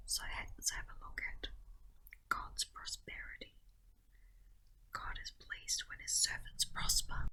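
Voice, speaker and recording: A woman whispers softly at a fairly slow pace, with big swings in loudness. Long pauses come often. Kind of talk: devotional commentary. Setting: home recording with garden nature sounds. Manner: whispered, soft-spoken.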